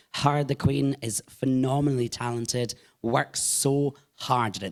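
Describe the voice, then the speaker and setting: Pitched in the medium range, a man talks with ordinary pitch variation. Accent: Scottish. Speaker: drag performer and singer. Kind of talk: live podcast interview. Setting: live podcast recording at a venue with audience.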